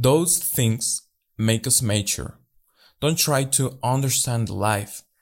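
Very slowly, a man with a Spanish accent speaks at a medium pitch with ordinary variation. The recording is very clean, with a silent background. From Mexico. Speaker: life coach podcaster. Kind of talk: motivational monologue.

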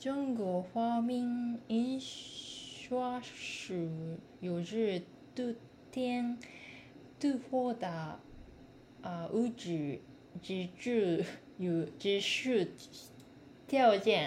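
A woman's fairly high, somewhat breathy voice in a Japanese accent, with lively intonation, a very slow pace, and long, frequent pauses. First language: Japanese (speaking Chinese). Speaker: language student. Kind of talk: reading aloud practice. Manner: halting.

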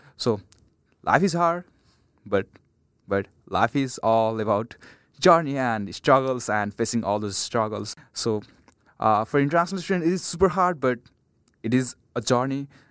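With a Nepali accent and lively intonation, a man talks at a moderate pace, broken by long, frequent pauses. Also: medium pitch for a man, dry, close sound with no echo. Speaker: international student. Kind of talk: roundtable discussion. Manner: halting.

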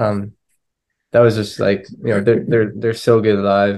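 Here is a man with a plain, everyday voice in an American accent. His pitch is fairly low and his intonation fairly even. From Florida, US. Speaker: touring band musician. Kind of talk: casual interview.

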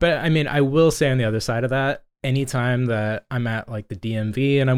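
A man with an ordinary speaking voice, medium pitch and ordinary pitch variation, at a fairly quick pace, in a very clean recording with a silent background. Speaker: podcast co-host and brewery co-founder. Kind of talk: casual chat.

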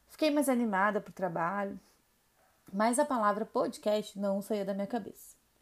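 A woman talks at a moderate pace and a medium pitch. She uses ordinary pitch variation. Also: very clean recording, silent background. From Rio Grande do Sul, southern Brazil. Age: 30s. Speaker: podcast host, makeup artist. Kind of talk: personal storytelling monologue.

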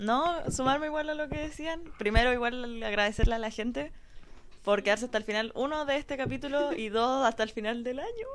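Against noticeable background noise, a woman with a Chilean accent talks at a fairly quick pace in a high voice with ordinary pitch variation. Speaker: podcast panelist. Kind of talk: live podcast panel chat. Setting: radio studio.

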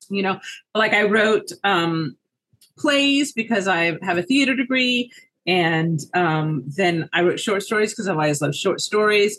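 A woman with a normal speaking voice talks at medium pitch and a fairly slow pace. Her intonation is lively and her loudness very even. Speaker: mystery author. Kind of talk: casual interview conversation.

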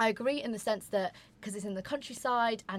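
With a London accent, a woman talks at a fairly quick pace. Her pitch varies in an ordinary way. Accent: southern English, London. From London, southern England. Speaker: podcast host, university student. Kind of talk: casual chat.

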